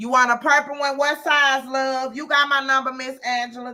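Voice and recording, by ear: A woman with a high pitch projects her raised voice at a moderate pace, her intonation flat and monotone while her loudness swings widely. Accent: Southern US.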